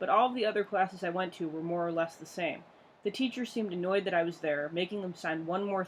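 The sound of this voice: This is an unforced reading voice. It reads aloud.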